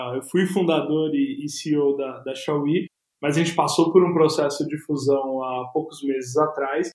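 With fairly even intonation, a plain, everyday voice talks at a fairly slow pace. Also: man, fairly high pitch for a man. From Brazil, São Paulo metro area (São Bernardo do Campo). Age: 20s. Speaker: tech entrepreneur, hackathon organizer. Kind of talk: casual interview.

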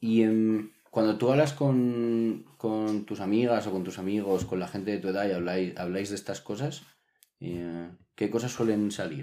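A man's fairly low, dark and mellow voice, at a fairly slow pace with ordinary pitch variation. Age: 20s. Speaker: podcast co-host. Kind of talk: casual chat.

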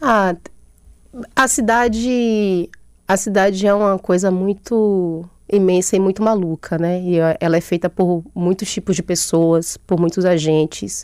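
Using an unremarkable speaking voice, a woman talks at medium pitch with ordinary pitch variation and very even loudness. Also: fairly slow pace. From Brazil, Bahia interior (Chapada Diamantina). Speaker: comics artist and author. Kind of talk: radio interview. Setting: studio.

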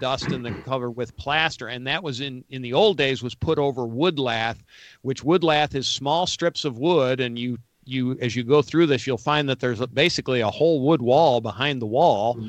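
With an American accent, a man talks at a moderate pace in a plain, everyday voice, with ordinary pitch variation against a quiet background. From Western New York. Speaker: radio show host, handyman. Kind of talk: interview; show intro.

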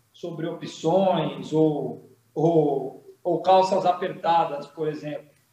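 With audible room echo, a man talks in a high pitch and a flat, monotone delivery. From Brazil, São Paulo coast (Santos). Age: 30s. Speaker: state politician, former military officer. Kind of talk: political interview.

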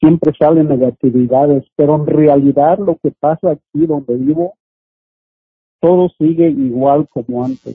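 An ordinary speaking voice, delivered with fairly even intonation. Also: man, fairly high pitch for a man, fairly slow pace. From Oaxaca, Mexico. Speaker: community activist. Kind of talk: interview.

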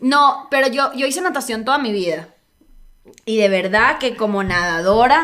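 A bright, sharp, animated tone with lively intonation at a moderate pace. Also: woman, high pitch for a woman. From Venezuela. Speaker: comedian. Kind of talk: casual chat.

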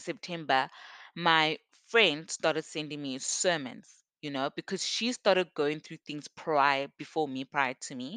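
A woman speaks at a fairly slow pace with a very deep, low pitch and ordinary pitch variation. The sound is dry and close with no echo, and the background is quiet. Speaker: podcast host. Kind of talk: personal story monologue. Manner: casual and conversational.

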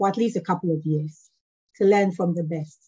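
A woman with a Ghanaian accent speaks in a somewhat breathy, dark, mellow tone, with a fairly low pitch and fairly even intonation. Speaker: management consultant. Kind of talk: casual interview conversation. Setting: video call.

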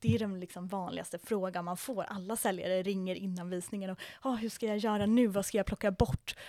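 A woman with an ordinary speaking voice speaks at a medium pitch with fairly even intonation. The recording is very clean, with a silent background. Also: dry, close sound with no echo. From Sweden, Södermanland countryside. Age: 20s. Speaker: real estate agent. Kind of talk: interview. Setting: after a viewing in an apartment.

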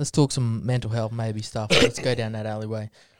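An Australian accent comes through at a moderate pace, with dry, close sound and no echo. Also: man. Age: 20s. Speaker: podcast host. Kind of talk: casual chat.

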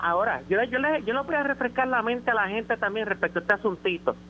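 With a bright, sharp tone, a man talks in a raised, projected voice. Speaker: caller. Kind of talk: call-in opinion. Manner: halting, repeats words.

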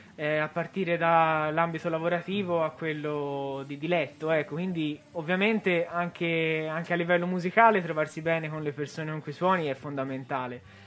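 In an ordinary speaking voice, a man with a fairly high pitch talks at a moderate pace with fairly even intonation and hardly any pauses. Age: 20s. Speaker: rock band drummer. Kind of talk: radio interview. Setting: radio studio.

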